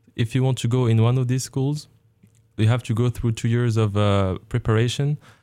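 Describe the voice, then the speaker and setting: In a very clean recording with a silent background, a man talks at a moderate pace with medium pitch, a dark, mellow tone, very even loudness and fairly even intonation. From Morocco. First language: French or Arabic. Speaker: graduate exchange student in engineering. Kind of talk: radio interview. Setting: radio studio.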